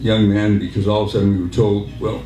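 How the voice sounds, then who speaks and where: Recorded with audible room echo and noticeable background noise, a man talks at a fairly low pitch with an American accent. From Southern California (Santa Monica), born Salt Lake City. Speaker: war veteran. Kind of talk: speech. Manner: halting.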